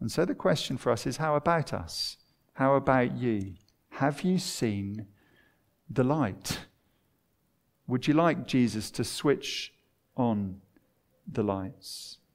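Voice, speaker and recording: In a very clean recording with a silent background, a man with a southern English accent and a medium pitch talks at a very slow pace, leaving long, frequent pauses. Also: lively intonation. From southern England (Watford). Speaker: preacher. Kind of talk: sermon.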